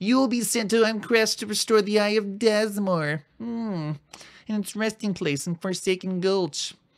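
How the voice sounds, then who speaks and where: This put-on character voice has a fairly high pitch and moves at a fairly slow pace. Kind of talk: reading game text aloud. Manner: nerdy, exaggerated.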